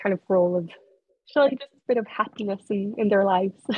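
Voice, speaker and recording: A woman's somewhat breathy voice at medium pitch, fairly quick in pace, with fairly even intonation. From France. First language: French. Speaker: author. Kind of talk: interview.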